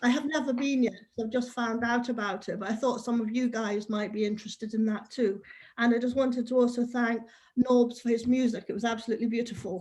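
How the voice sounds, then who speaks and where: Speaking at a fairly quick pace, a woman holds a fairly high pitch with monotone, flat intonation. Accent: English. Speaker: worship participant. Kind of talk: casual chat.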